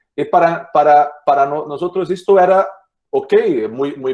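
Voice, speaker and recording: The intonation is lively, and the pace is fairly slow. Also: man. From Brazil. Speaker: orthopedic surgeon. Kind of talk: lecture. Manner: halting, many repetitions.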